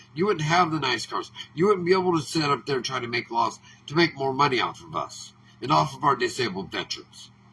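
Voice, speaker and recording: A man with an American accent, fairly high-pitched, very fast and lively in intonation, amid noticeable background noise. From Oregon. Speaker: political commentator. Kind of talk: political monologue. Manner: animated.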